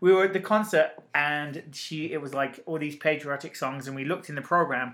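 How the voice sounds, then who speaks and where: This man has a normal speaking voice with fairly high pitch. He moves at a fairly quick pace with ordinary pitch variation. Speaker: podcast host. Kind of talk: casual banter podcast chat. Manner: bantering, teasing.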